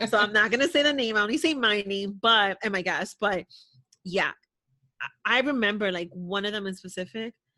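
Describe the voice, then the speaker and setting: A woman speaks fairly quickly at a medium pitch, her tone animated, bright and sharp. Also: ordinary pitch variation, quiet background. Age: 30s. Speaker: podcast guest, podcaster. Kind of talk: casual chat.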